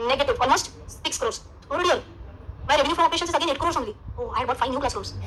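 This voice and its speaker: A woman with an Indian accent speaks in a raised, projected, animated voice at an extremely high pitch with very wide pitch swings, moving at a very fast pace between long, frequent pauses, amid noticeable background noise and audible room echo. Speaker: finance teacher. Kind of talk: lecture.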